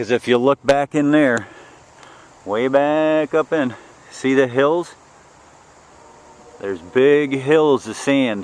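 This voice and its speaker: A man talks at a very slow pace with ordinary pitch variation, leaving long, frequent pauses. The sound is dry and close with no echo, though noticeable background noise is present. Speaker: vlogger doing land clearing work. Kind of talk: walking tour vlog. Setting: outdoors, walking on a worksite. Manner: casual, conversational.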